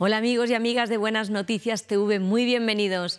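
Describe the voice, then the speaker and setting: The voice belongs to a woman. Nothing much can be heard behind her. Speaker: TV presenter. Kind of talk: TV show host introduction. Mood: warm, welcoming. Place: studio. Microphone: lapel.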